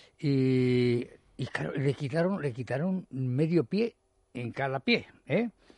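The man's pitch is fairly high. He talks at a very slow pace with long, frequent pauses. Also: lively intonation, dry, close sound with no echo. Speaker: mountaineer and writer. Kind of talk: radio interview. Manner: halting, many repetitions.

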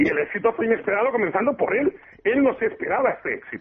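A man is speaking. His intonation is lively. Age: 40s. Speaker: teacher and antiquarian bookseller. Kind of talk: radio interview.

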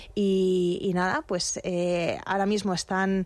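A woman talks at a medium pitch. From Madrid, Spain. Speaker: magazine fashion editor. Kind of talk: radio interview. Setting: studio.

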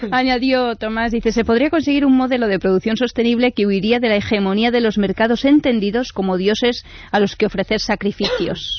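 A woman with an unremarkable speaking voice talks at a fairly quick pace with hardly any pauses, her fairly high pitch showing ordinary variation and her loudness staying very even. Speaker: radio co-host. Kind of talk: news reading.

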